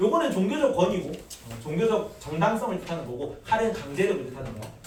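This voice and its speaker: In a Gyeongsang accent, a man talks at a moderate pace with very wide pitch swings. Audible room echo and noticeable background noise are present. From Gyeongsang region, Korea. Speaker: ethics teacher. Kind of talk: lecture. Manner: casual, conversational.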